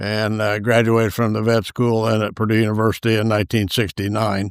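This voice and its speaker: In a very clean recording with a silent background, a man with an American accent speaks at a fairly low pitch, the sound dry and close with no echo. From Indiana, rural Carroll County. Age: 80s+. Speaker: retired veterinarian. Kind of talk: casual interview, life story. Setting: at home on family farm. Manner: hesitant, many fillers.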